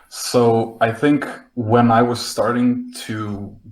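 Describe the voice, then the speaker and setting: A man speaks in a somewhat breathy voice with a Slovenian accent. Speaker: front-end developer. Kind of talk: podcast panel interview. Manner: hesitant, many fillers.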